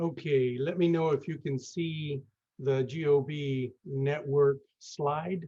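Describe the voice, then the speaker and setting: A man's somewhat breathy, dark, mellow tone at fairly high pitch, very slow pace and fairly even intonation. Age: 60s. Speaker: real estate investor, network founder. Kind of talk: webinar presentation. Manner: halting, many fillers.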